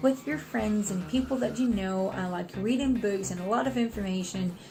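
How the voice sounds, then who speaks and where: A woman of medium pitch mumbles at a moderate pace with lively intonation. Noticeable background noise and audible room echo fill the recording. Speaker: online student vlogger. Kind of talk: casual vlog update. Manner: mumbling.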